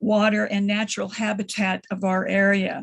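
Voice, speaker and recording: The voice is somewhat breathy and moves at a moderate pace. The background stays quiet. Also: woman. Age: 70s. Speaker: retired nurse, public commenter. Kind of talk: public hearing comment.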